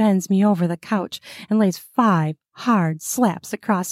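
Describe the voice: The speaker does plain reading aloud with ordinary pitch variation. The background is quiet.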